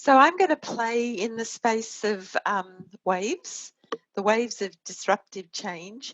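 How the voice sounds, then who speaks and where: At a fairly slow pace, a woman with an Australian accent speaks at a fairly high pitch. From Australia (Sydney). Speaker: innovation consultant. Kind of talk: webinar presentation.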